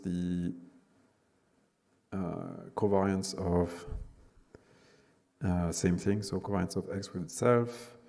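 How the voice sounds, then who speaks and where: With fairly even intonation and long, frequent pauses, the speech carries audible room echo. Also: man. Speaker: university lecturer. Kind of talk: lecture. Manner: halting.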